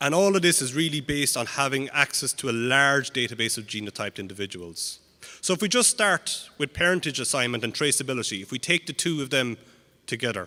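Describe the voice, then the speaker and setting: A man's bright, sharp tone at a very fast pace, with lively intonation. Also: medium pitch for a man. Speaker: animal genetics researcher. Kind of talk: conference talk.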